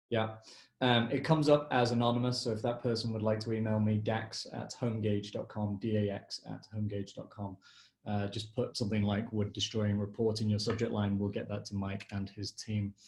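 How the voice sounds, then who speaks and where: A man with an English accent talks at a fairly quick pace in a fairly low voice. His delivery is somewhat breathy and flat, monotone in intonation. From England. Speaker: session moderator. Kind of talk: live Q&A webinar.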